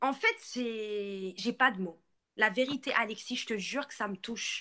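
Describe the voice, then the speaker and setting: Speaking in a Moroccan accent, a woman uses a fairly high pitch with ordinary variation and an animated tone. She goes at a fairly slow pace, her loudness swinging widely. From Morocco. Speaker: live streamer. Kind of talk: live stream rant.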